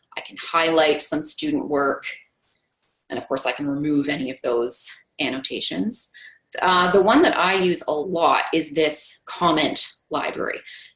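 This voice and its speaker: Woman in a normal speaking voice, fairly low in pitch, fairly slow, with ordinary pitch variation. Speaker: math instructor demonstrating grading software. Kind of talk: webinar software demo.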